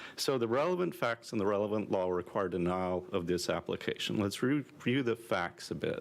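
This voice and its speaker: Soft-spoken, a man talks at a moderate pace with a fairly low pitch. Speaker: attorney for protestants. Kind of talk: legal oral argument.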